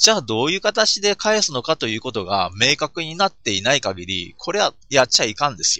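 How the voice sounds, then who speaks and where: A man with a fairly high pitch, very wide pitch swings, vocal fry, and a fairly quick pace. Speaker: podcaster. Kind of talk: solo monologue podcast. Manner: many filler sounds, hesitant.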